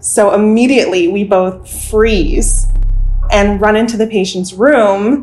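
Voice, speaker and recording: A woman with a fairly high pitch speaks at a fairly slow pace with ordinary pitch variation. Hers is an unremarkable speaking voice. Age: 20s. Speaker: nurse. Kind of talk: storytelling interview.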